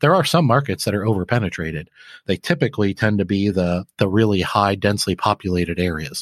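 In a Midwestern American accent, a man talks at a very fast pace with a fairly low pitch and ordinary pitch variation, the sound dry and close with no echo over a quiet background. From Flint, Michigan. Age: 40s. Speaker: laundromat business owner and author. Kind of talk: podcast interview.

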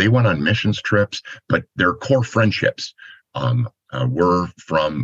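At a moderate pace, a man speaks with a very deep, low pitch, very wide pitch swings, and vocal fry. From Michigan, US. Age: 60s. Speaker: ministry organization president. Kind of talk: interview.

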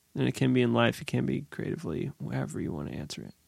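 A man talks at a very fast pace. The sound is dry and close, with no echo. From New Hampshire. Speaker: podcast host. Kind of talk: casual interview.

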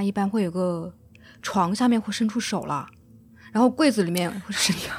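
Fairly quick pace over noticeable background noise. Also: woman. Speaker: podcast co-host. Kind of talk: casual chat. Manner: chatty, reacting with short interjections.

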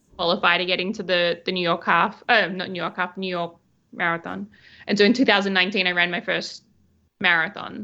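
A woman speaks at a fairly quick pace with an Australian accent and a medium pitch. Her tone is bright and sharp, and the background is quiet. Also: fairly even intonation. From Western Australia (Albany). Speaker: wedding photographer. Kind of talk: casual chat.

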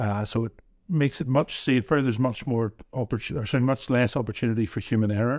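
A man with a Northern Irish accent talks at a fairly quick pace with ordinary pitch variation. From Northern Ireland. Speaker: pharmacy owner. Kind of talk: interview conversation.

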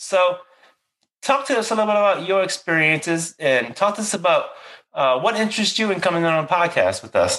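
This man talks at a fairly quick pace with a high pitch and lively intonation. His tone is bright and sharp. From Louisiana, near New Orleans. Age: 40s. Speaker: podcast host, veteran therapist. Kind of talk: casual interview.

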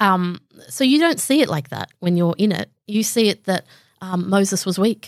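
A woman at a moderate pace, in a dry, close sound with no echo. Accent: Australian. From Southwest Sydney, Australia. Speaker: comedian. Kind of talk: casual chat.

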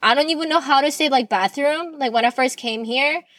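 Talking at a fairly quick pace, a woman with a Korean accent has a high pitch. Her pitch varies in an ordinary way. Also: dry, close sound with no echo. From South Korea. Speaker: podcast host. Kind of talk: personal monologue.

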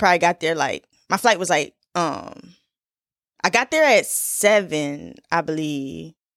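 With vocal fry and an animated tone, a woman talks at a fairly slow pace in a fairly low voice. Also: lively intonation. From Philadelphia. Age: 20s. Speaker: podcast host. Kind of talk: casual solo monologue.

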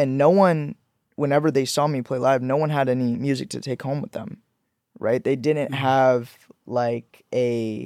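An ordinary speaking voice comes at a moderate pace with ordinary pitch variation in a dry, close sound with no echo. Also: man. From born in Pakistan, raised in Georgia and Florida, US. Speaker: musician, songwriter and producer. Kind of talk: casual interview chat.

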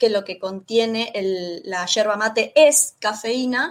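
A woman uses a normal speaking voice, fairly high in pitch, with ordinary pitch variation. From Argentina, Rosario (Santa Fe). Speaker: Spanish teacher. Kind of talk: interview.

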